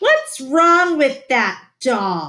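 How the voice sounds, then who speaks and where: A woman uses a put-on character voice with a high pitch. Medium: read story. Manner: blunt, disapproving.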